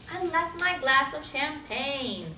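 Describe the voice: Using a put-on character voice, a woman talks slowly in a high, bright, sharp tone with lively intonation over faint background noise.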